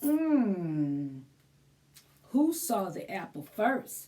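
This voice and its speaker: A woman uses a put-on character voice at a fairly high pitch. Her pitch swings very widely. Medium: read story. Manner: slow, thoughtful.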